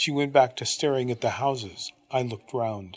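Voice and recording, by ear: Someone reads aloud in a natural voice here.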